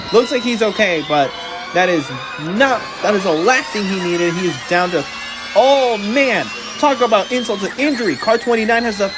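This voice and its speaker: This man's high-pitched voice moves at a moderate pace with lively intonation, and there is noticeable background noise. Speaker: race commentator. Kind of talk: live sports race commentary.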